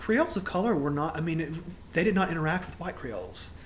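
A man with high pitch and ordinary pitch variation talks at a fairly quick pace, with noticeable background noise and audible room echo. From Louisiana. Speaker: podcast co-host. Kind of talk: casual chat.

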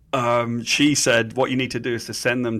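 A man speaks with an English accent at a moderate pace. His intonation is monotone and flat, and the recording is very clean with a silent background. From England. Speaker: comic book writer. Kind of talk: interview.

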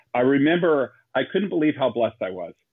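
With an unremarkable speaking voice, someone talks fairly quickly and shows ordinary pitch variation. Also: man. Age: 30s. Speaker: missionary and youth speaker. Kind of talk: interview.

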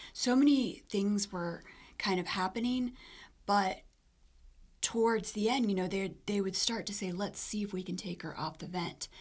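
A woman at a medium pitch talks at a moderate pace with ordinary pitch variation and long, frequent pauses. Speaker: cardiac arrest survivor. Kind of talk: personal testimony.

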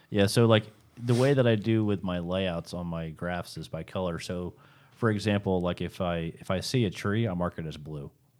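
A man with a very deep, low pitch and an American accent at a moderate pace, in a very clean recording with a silent background. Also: ordinary pitch variation. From South Jersey, US. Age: 30s. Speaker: professional bass angler and fishing guide. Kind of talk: casual interview. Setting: studio.

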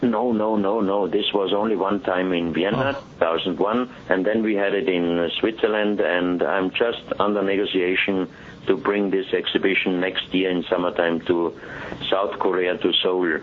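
A man with a German accent talks at a moderate pace in a fairly low voice, his loudness very even and his intonation fairly even. Noticeable background noise runs under him. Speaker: exhibition organizer and artifact collector. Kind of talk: interview. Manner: halting, with frequent fillers.

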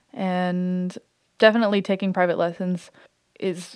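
A woman speaks at medium pitch in a plain, everyday voice. Her intonation is fairly even. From Canada, Ottawa. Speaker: jazz musician. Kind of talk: casual interview.

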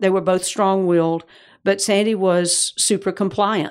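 This speaker has a Georgia accent and talks at a moderate pace. The recording is very clean, with a silent background. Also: woman. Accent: Southern US (Georgia), still noticeable. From US South, Georgia. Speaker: mother and grandmother, church member. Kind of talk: interview about family and faith.

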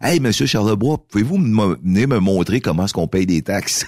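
His pitch is very deep and low, and his intonation is lively. The man moves at a fairly quick pace. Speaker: mayor and former radio host. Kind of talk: casual radio interview.

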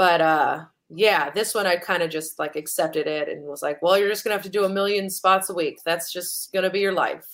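A woman with an American accent talks fairly quickly in a plain, everyday voice at medium pitch, with fairly even intonation and hardly any pauses. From US West Coast, San Francisco. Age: 30s. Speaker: stand-up comedian. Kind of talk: casual interview.

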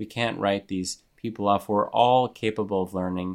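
In a very clean recording with a silent background, a man talks at a moderate pace in an ordinary speaking voice, fairly low in pitch with ordinary pitch variation. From Montreal, Canada. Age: 30s. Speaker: journalist and author. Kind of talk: interview.

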